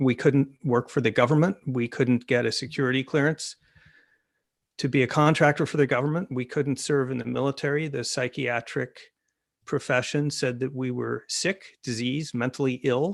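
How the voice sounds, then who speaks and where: On a very clean recording with a silent background, a man with an American accent and a normal speaking voice talks at a medium pitch and a moderate pace. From United States. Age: 60s. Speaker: author. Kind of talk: panel talk.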